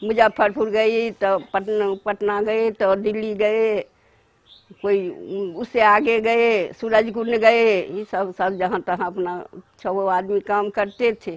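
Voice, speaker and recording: Against a quiet background and with a dry sound with no echo, a woman with a fairly high voice speaks very slowly in a monotone, flat intonation. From Madhubani, Bihar, India. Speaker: master Mithila painter. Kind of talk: interview answer. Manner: conversational, narrating her life and work. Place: home room. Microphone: lapel.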